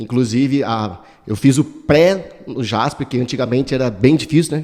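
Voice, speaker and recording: This man's voice is fairly high in pitch yet dark and mellow in tone. He keeps a moderate pace with ordinary pitch variation. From Brazil, São Paulo state interior. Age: 40s. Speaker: political candidate. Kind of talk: interview. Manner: casual, hesitant.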